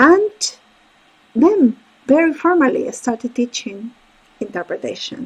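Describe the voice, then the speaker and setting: A woman with a Spanish accent speaks at a high pitch and a fairly slow pace, with very wide pitch swings and long, frequent pauses. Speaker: court interpreter and interpreter coach. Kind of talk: career talk with slides.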